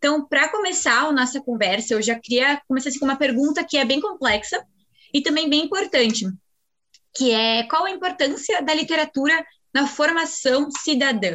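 A woman speaks at a moderate pace in a high voice, her intonation lively and her loudness very even. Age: 19. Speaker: student podcast host. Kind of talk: casual interview chat.

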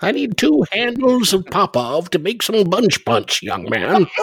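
The speaker uses a put-on character voice at a middle pitch and a fairly slow pace.

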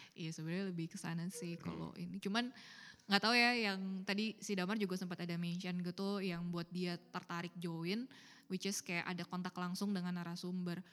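A woman's medium-pitched voice stays monotone and flat as she moves at a fairly quick pace. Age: 20s. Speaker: podcast co-host. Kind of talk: casual chat.

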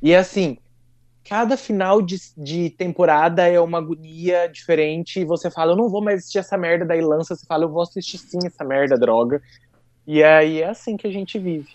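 A man speaks at a fairly quick pace with a São Paulo interior accent. His pitch is high, and the background is quiet. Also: ordinary pitch variation. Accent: caipira (rural São Paulo interior). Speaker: podcast guest. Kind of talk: casual chat.

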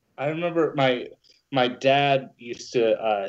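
A man with an American accent speaks in a normal speaking voice at a medium pitch. His pitch varies in an ordinary way. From New Jersey. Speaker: musician. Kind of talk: casual chat.

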